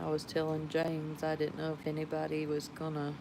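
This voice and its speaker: With a Georgia accent, a woman speaks in a very deep, low voice. Her tone is dark and mellow. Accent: Georgia Southern drawl. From Georgia, US South. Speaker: live streamer. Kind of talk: casual chat.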